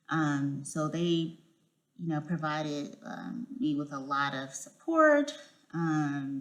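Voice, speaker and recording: There is audible room echo around this woman. Her pitch is very deep and low. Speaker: vlogger, incoming clinical psychology PhD student. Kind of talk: casual vlog monologue. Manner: halting, many fillers.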